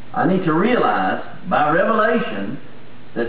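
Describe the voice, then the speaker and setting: A man's pitch swings very widely, and audible room echo surrounds his voice. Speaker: pastor. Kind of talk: sermon. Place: church.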